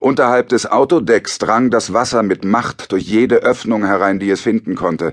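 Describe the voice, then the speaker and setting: At a moderate pace with hardly any pauses, a man talks in a normal speaking voice with ordinary pitch variation. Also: medium pitch for a man. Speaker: audiobook narrator. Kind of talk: dramatic audiobook narration of a shipwreck. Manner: grave, measured, suspenseful.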